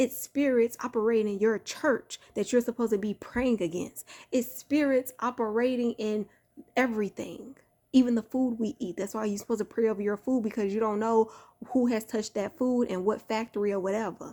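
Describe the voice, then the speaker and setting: Her tone is dark and mellow, with a fairly high pitch. This woman talks at a fairly quick pace in an American accent. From Chicago. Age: 30s. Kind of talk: sermon. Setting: at home, holding sleeping son. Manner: animated; softer, lowered voice.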